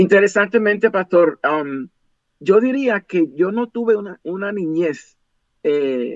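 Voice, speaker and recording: A high-pitched man at a very slow pace, with lively intonation. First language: English (speaking Spanish). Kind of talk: interview.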